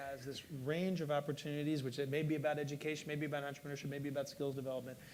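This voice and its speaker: A man speaks at a fairly high pitch. The room echo is audible. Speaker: panel moderator. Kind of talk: panel discussion. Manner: halting, stuttering.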